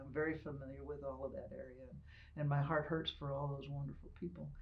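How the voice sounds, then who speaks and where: A woman with an American accent speaks fairly quickly in a very deep, low voice, monotone and flat, with vocal fry and audible room echo. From Ohio. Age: 70s. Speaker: retired military officer and veterinarian. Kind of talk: oral history interview. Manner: conversational, some hesitations.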